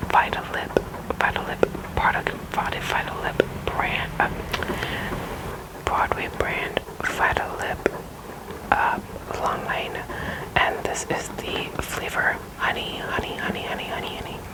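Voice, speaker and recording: Whispering at a very slow pace, a woman leaves long, frequent pauses. Noticeable background noise can be heard. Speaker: ASMR creator. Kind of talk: ASMR object explanation. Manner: soft-spoken, whispery.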